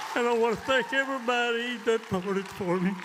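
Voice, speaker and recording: A man with an American accent, speaking at a very slow pace amid audible room echo. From Oklahoma. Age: 80s+. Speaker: retired rodeo cowboy. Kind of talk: acceptance speech. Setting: stage with audience. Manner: halting.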